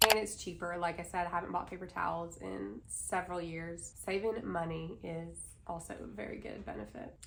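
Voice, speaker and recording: With hardly any pauses, a woman speaks at a moderate pace in a fairly low voice, and room echo can be heard. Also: ordinary pitch variation. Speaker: lifestyle vlogger. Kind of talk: casual vlog talk.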